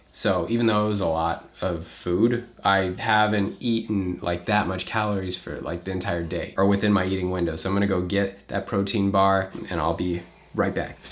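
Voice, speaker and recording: With hardly any pauses, a man with a very deep, low pitch speaks at a moderate pace and fairly even intonation. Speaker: vlogger. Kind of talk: casual vlog chat. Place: home room. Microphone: phone near.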